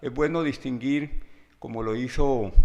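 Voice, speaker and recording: A fairly slow pace over a quiet background. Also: man. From Colombian Pacific coast, Guapi (Cauca). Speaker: writer and lecturer. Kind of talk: lecture. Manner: halting, with frequent fillers.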